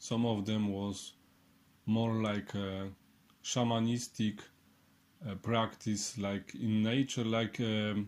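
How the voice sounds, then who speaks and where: A very slow pace in a Polish accent, with fairly even intonation. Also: man. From Poland. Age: 30s. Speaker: clairvoyant and healer. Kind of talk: online workshop. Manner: halting.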